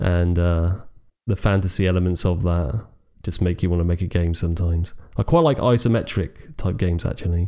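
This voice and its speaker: A man with a British accent, very deep low pitch and a dark, mellow tone, at a fairly quick pace with fairly even intonation and very even loudness. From Britain. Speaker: podcast co-host. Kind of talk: casual chat.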